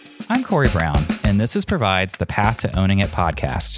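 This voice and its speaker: Music plays in the background as the voice moves at a fairly quick pace. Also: man. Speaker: podcast host. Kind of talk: scripted podcast intro.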